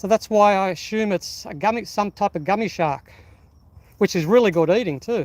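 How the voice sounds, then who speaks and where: At a moderate pace, a man speaks in a high voice with an Australian accent. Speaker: fishing live streamer. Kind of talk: live stream commentary. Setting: outdoors on rocks by the water. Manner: loud; animated.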